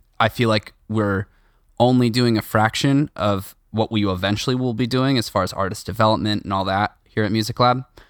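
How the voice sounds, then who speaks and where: A man talks in a plain, everyday voice at a fairly low pitch and fairly quick pace. Intonation is fairly even, and the sound is dry and close with no echo. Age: 20s. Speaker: drummer and music school owner. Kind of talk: casual chat. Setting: video call.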